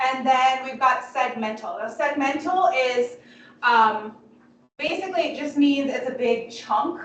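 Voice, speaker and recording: A loud, high-pitched woman at a fairly slow pace with ordinary pitch variation and audible room echo. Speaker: biology instructor. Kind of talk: lecture. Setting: classroom.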